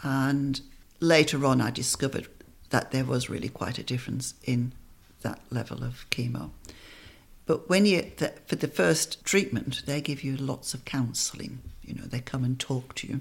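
A woman with a very deep, low voice and vocal fry speaks at a moderate pace with ordinary pitch variation. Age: 60s. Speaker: breast cancer survivor. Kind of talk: interview, personal story. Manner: witty.

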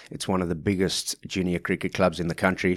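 A man with a South African accent speaks at a very deep, low pitch. The recording is very clean, silent in the background, with a dry, close sound and no echo. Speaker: junior cricket coordinator. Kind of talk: interview.

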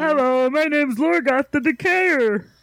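A man uses a put-on character voice at an extremely high pitch. His tone is theatrical and his pace moderate. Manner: exaggerated, theatrical.

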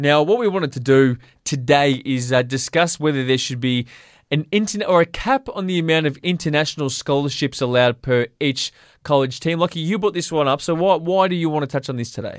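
A plain, everyday voice with ordinary pitch variation. The recording is very clean, with a silent background. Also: man, fairly high pitch for a man. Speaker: sports radio host. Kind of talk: casual sports chat.

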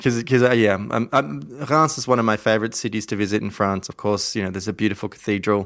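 A man with an Australian accent speaks at a very fast pace. His voice sits at a fairly low pitch and shows ordinary pitch variation. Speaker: wine podcast host. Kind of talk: interview. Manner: many fillers, hesitant.

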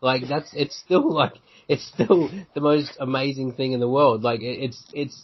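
A man speaks with an Australian accent. His pitch varies in an ordinary way. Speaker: sports podcast host. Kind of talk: casual chat.

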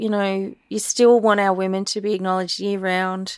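A woman with an Australian accent speaks at a moderate pace and a medium pitch. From Australia, Echuca/Moama (Victoria–NSW border). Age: 40s. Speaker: visual artist and curator. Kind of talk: interview conversation.

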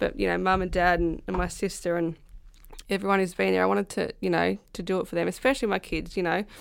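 A woman speaks in a rural Australian accent. The recording is very clean, with a silent background. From rural south-west New South Wales, Australia. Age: 30s. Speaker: professional footballer and farmer. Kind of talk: interview.

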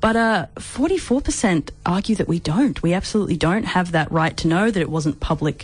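Somewhat breathy speech comes at a moderate pace, with lively intonation and very even loudness. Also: woman, medium pitch for a woman. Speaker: new radio co-host. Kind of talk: casual radio chat.

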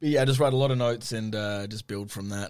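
This man has an Australian accent and a fairly low pitch. His intonation is fairly even, and the recording is very clean with a silent background. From Western Australia, Perth. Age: 30s. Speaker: radio host. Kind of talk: casual chat.

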